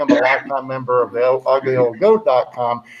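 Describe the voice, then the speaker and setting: Through noticeable background noise, a man speaks at a moderate pace. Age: 70s. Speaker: livestream host, bitcoin cruise organizer. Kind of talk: casual chat. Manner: halting, many fillers.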